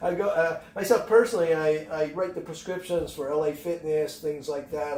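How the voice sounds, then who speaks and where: Over noticeable background noise, the speech moves at a fairly quick pace with hardly any pauses. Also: man. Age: 70s. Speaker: fitness expert. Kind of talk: podcast interview. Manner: animated.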